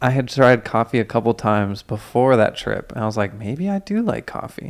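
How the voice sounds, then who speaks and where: Speaking at a fairly quick pace, a man uses a normal speaking voice at a medium pitch, recorded very cleanly against a silent background. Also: ordinary pitch variation. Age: 20s. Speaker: podcast co-host. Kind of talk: casual chat.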